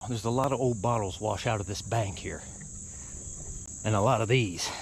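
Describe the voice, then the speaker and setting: A somewhat breathy man's voice of medium pitch, fairly quick and fairly even in intonation, with audible room echo. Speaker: artifact hunter and video host. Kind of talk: casual solo commentary while searching outdoors.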